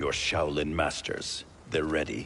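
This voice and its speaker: Using a put-on character voice, a man speaks at a fairly slow pace with a very deep, low pitch over clear background noise. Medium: video game. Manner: grave, wary.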